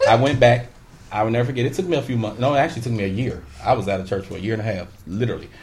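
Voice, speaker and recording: With an American accent, a man speaks at a very fast pace in a somewhat breathy voice of medium pitch and ordinary pitch variation. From Chicago. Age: 30s. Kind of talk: casual chat. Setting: studio.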